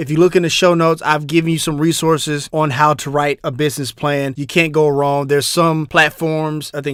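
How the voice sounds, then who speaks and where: Speaking with a Southern US accent, a man with a fairly high pitch and a bright, sharp tone talks in fairly even intonation with hardly any pauses. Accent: southern drawl. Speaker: business podcast host. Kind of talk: podcast tutorial. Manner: casual, with fillers.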